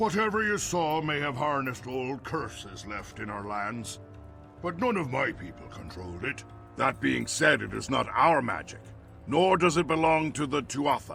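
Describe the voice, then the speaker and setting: A man puts on a character voice with a fairly high pitch. He talks at a moderate pace as clear music plays in the background. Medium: video game. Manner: imperious, grandiose.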